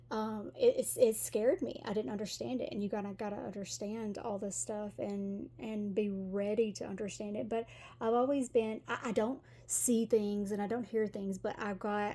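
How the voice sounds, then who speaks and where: A woman speaks with a Tennessee accent. Her tone is dark and mellow, and somewhat breathy. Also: medium pitch for a woman, ordinary pitch variation, moderate pace. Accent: Southern US (Tennessee). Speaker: tarot reader. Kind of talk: tarot reading. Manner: halting, many fillers; casual, chatty.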